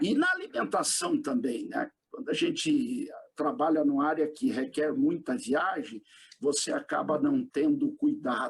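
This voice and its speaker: A man speaks at a fairly slow pace with an extremely high pitch. His pitch swings very widely while his loudness stays very even. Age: 60s. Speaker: retired pastor. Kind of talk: interview.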